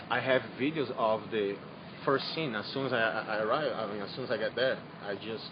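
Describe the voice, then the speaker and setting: With noticeable background noise, a man with a non-native accent speaks at a fairly quick pace and medium pitch. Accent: foreign accent, noticeable. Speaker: eyewitness to a disaster. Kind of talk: on-scene news interview. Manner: halting, repeating words.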